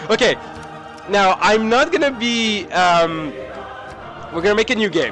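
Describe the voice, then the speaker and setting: A man with a French accent and a high voice speaks at a moderate pace over noticeable background noise. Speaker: gaming video creator. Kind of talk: let's play commentary. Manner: animated.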